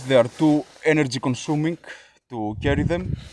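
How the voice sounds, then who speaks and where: A man with a Greek accent speaks at a fairly slow pace and a fairly high pitch, his intonation lively. Noticeable background noise is present. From Greece. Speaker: YouTuber, elk park worker. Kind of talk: casual vlog talk. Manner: hesitant, many filler sounds.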